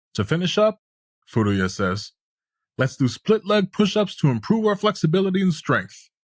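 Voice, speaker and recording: Pitched high, a man speaks with lively intonation at a moderate pace. The sound is dry and close, with no echo. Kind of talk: scripted audio series narration of a manga recap.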